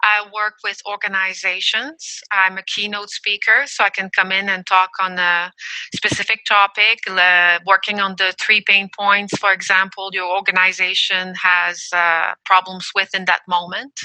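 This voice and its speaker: A woman speaks in a French accent with a bright, sharp tone and monotone, flat intonation. The sound is dry and close with no echo, and she hardly pauses. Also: medium pitch for a woman, fairly slow pace. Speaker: emotional intelligence coach. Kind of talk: podcast interview.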